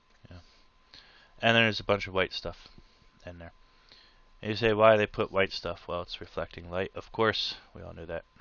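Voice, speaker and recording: A man talks at a moderate pace in a fairly low pitch with fairly even intonation. His loudness swings widely and he takes long, frequent pauses. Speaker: art tutorial creator. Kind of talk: tutorial.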